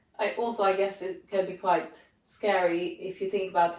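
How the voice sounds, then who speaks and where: The woman speaks at a medium pitch. Her pace is moderate, with noticeable background noise. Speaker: yoga teacher. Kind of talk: casual chat. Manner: halting.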